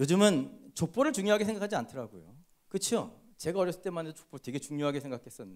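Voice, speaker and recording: Very fast and high-pitched, a man's voice swings very widely in pitch and makes big swings in loudness. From South Korea, Chuncheon. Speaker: pastor. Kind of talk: sermon. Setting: church.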